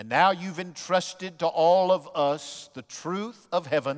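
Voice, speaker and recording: A man talks very slowly, and the background is quiet. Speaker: pastor. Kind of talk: sermon and prayer. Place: church. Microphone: headset.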